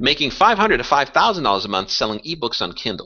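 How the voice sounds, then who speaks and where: A man speaks with very wide swings in pitch. His voice carries vocal fry. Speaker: webinar presenter on passive income. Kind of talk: webinar presentation. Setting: live online webinar broadcast. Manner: fast.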